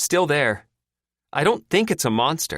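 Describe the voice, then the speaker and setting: A man's put-on character voice, fairly high in pitch with very wide pitch swings, at a moderate pace on a very clean recording with a silent background. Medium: read story. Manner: sardonic, blunt.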